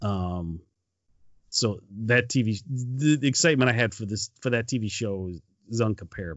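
An American man speaks at medium pitch and a moderate pace in an ordinary speaking voice with ordinary pitch variation. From Michigan. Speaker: podcast host. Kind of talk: casual chat.

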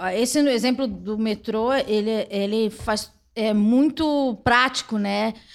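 In a very clean recording with a silent background, a woman is heard. Her voice is fairly high and shows ordinary pitch variation. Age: 30s. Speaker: podcast host. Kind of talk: casual interview. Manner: laughs often.

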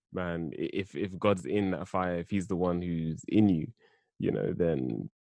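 Against a quiet background, a man with a London accent speaks in a very deep, low pitch with ordinary pitch variation and a dry, close sound with no echo. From South London. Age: 20s. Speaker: theology student. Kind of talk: bible study discussion.

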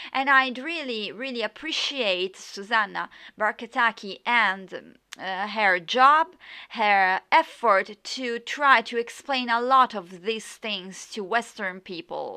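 In an Italian accent, a bright, sharp voice moves at a very slow pace with big swings in loudness against a quiet background. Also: woman, fairly high pitch for a woman, ordinary pitch variation. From Italy. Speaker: podcast host and yoga teacher. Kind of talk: solo podcast monologue. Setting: home recording with USB microphone, background noise. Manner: halting, many fillers.

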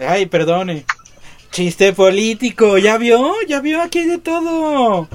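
The pitch swings very widely as a man speaks. His voice sits high and moves at a very slow pace. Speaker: podcast co-host, comedian. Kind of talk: casual comedic chat.

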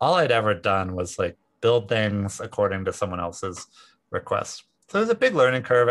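Against a quiet background, a man with a normal speaking voice talks fairly quickly at a fairly low pitch. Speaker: tech company founder and CEO. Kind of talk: interview.

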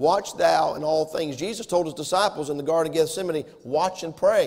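A man with a Southern US accent talks at a moderate pace in a high pitch. Noticeable background noise runs underneath. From US South. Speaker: pastor. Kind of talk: sermon. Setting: church.

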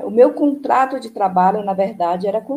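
This woman's voice sits fairly high in pitch, with ordinary variation. Her tone is dark and mellow, and somewhat breathy. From Brazil, Ceará. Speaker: retired union administrative secretary. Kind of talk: interview, personal memories. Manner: halting, many fillers.

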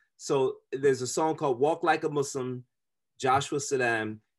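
Against a quiet background, a man talks at a fairly quick pace in an ordinary speaking voice with ordinary pitch variation. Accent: American. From US Midwest (Kansas City, Chicago suburbs). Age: 40s. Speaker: musician and university chaplain. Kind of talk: casual chat.

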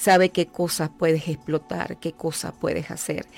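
Woman's voice, very deep and low in pitch, fairly even in intonation, at a moderate pace over music in the background. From Venezuela, Llanos region. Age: 50s. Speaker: life coach and author. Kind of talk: radio interview. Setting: radio studio.

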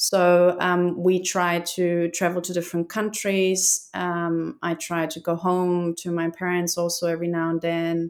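In a German accent, a woman talks at a fairly slow pace with a fairly low pitch, captured on a very clean recording against a silent background. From Germany. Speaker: expat guest, parent working remotely. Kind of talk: casual interview chat.

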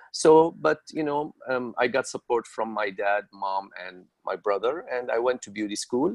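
A man with an Arabic accent and a medium pitch talks at a fairly slow pace with hardly any pauses, ordinary pitch variation, big swings in loudness and a dry, close sound without echo. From Syria. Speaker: hair colorist. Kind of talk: interview.

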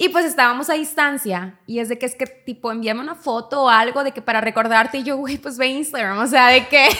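A woman speaks in a high, bright, sharp voice, raised and projected, at a fairly quick pace with hardly any pauses. Her pitch varies in an ordinary way, and the recording is very clean with a silent background. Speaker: podcast host. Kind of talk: casual chat.

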